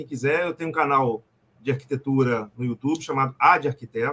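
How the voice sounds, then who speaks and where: A man with an Espírito Santo accent speaks at a fairly quick pace and fairly high pitch, with ordinary pitch variation. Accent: Brazilian Portuguese, capixaba. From Espírito Santo, Brazil. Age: 40s. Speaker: comics reader, listener. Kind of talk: casual chat. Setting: video call.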